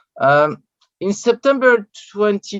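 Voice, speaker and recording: With a French accent and lively intonation, a man comes through in a dry, close sound with no echo. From France. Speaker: journalist and researcher. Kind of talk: conference talk. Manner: halting, many hesitations.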